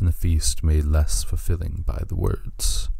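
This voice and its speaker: In a solemn, dark, mellow tone, a man speaks somewhat breathily at a moderate pace with fairly even intonation. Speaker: storyteller narrating a fantasy creation myth. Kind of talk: scripted dramatic narration of a fantasy myth, with quoted speech. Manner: solemn, formal, epic storytelling tone.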